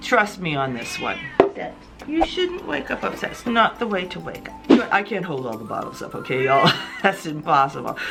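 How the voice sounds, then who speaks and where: Over music in the background, a woman talks at a moderate pace with big swings in loudness. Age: 50s. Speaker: beauty and fragrance youtuber. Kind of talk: product review monologue. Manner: animated.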